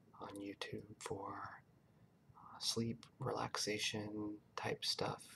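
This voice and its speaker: The voice is soft-spoken and very slow. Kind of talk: casual talk to camera.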